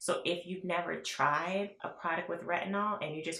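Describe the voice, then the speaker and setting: Audible echo surrounds the speech. A woman talks at a moderate speed. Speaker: beauty vlogger. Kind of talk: product review. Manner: casual, chatty.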